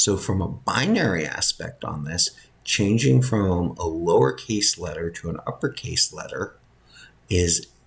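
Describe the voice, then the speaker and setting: A soft-spoken man talks at a fairly slow pace. His voice is fairly low in pitch and somewhat breathy. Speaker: college instructor. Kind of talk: lecture.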